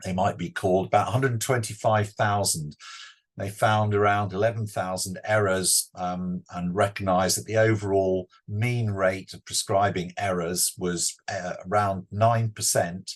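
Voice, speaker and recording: Fairly low in pitch, this man speaks with a British accent. His intonation stays fairly even. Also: moderate pace, quiet background. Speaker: clinical pharmacology professor. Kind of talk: webinar lecture. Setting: online webinar.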